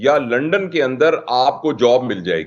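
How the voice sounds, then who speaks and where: The man talks in a plain, everyday voice, his pitch varying in an ordinary way. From Pakistan. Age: 60s. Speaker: scholar and expert guest. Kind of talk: TV talk show interview.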